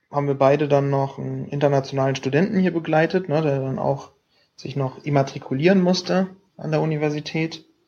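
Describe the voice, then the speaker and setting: A man's fairly high voice moves at a moderate pace, its pitch varying in an ordinary way. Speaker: student podcast co-host. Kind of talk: casual chat. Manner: hesitant, many fillers. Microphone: laptop mic.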